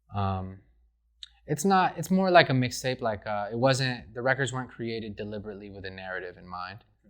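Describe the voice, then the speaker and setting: Speaking at a fairly quick pace with lively intonation, a man with an ordinary speaking voice and medium pitch shows big swings in loudness against a quiet background. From Rochester, upstate New York. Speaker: rapper. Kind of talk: interview. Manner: casual, many fillers.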